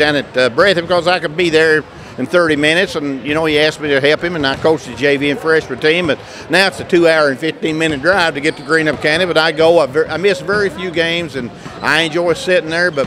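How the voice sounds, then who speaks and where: Noticeable background noise sits behind a man talking at a very fast pace. His pitch is fairly high, with fairly even intonation. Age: 60s. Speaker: retired basketball coach and school superintendent. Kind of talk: casual interview. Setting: gym during halftime of a broadcast game.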